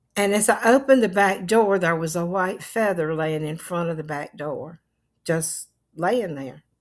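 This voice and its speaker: A woman speaks at a moderate pace in a fairly low pitch with ordinary pitch variation and a North Carolina accent. The recording is very clean, with a silent background. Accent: Southern US (North Carolina). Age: 80s+. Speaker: vlogger. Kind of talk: casual chat.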